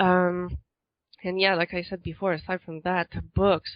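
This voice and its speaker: Speaking at a fairly slow pace, a woman with a slight non-native accent has a fairly low pitch. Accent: slight foreign accent in English. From Quebec, Montreal area. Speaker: author. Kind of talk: interview.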